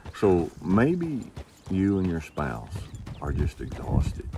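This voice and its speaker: A man speaks over noticeable background noise. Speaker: wrangler school instructor. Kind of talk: casual advice talk to camera. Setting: outdoors.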